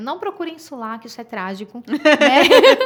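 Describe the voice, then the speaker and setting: The voice moves in very wide pitch swings over noticeable background noise. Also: woman. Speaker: sexologist. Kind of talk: casual chat. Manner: fast; interrupts others.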